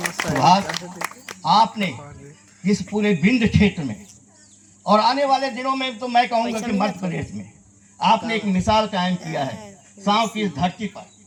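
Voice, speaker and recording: With noticeable background noise behind him, a man speaks in a high pitch, leaving long, frequent pauses. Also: ordinary pitch variation. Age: 60s. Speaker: social worker and public speaker. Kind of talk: memorial speech. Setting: stage with mic in tent before audience. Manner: oratorical, repeats lines for emphasis.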